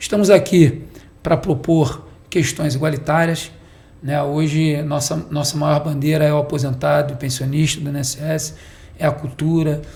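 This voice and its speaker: Somewhat breathy, a man with fairly high pitch speaks at a moderate pace in a monotone, flat way. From Baixada Fluminense, Rio de Janeiro, Brazil. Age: 40s. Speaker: political candidate and businessman. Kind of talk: podcast interview. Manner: halting, with restarts.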